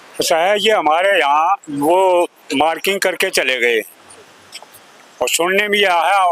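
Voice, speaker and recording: A raised, projected voice with ordinary pitch variation comes through with a dry, close sound with no echo over noticeable background noise. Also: man. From Delhi. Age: 70s. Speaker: local resident. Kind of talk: street interview. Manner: halting.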